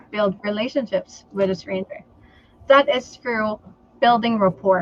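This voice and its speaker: This voice belongs to a woman. She speaks with a Filipino accent. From Philippines. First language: Tagalog. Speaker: entrepreneur and sales trainer. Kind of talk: interview on a live stream.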